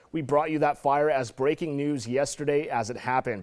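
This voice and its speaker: A man with an American accent and an unremarkable speaking voice, fairly high in pitch, at a fairly quick pace. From Orange County, California, USA. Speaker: television news anchor and reporter. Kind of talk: TV news anchor read.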